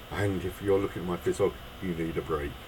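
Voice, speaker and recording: Over noticeable background noise, a man with a British accent speaks at a moderate pace. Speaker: miniature figure painter. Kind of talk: tutorial.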